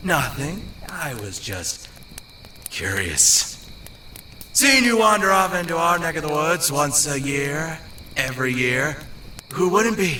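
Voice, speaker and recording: Against clear background noise, a man puts on a cartoonish character voice at a fairly slow pace. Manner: sarcastic, wisecracking.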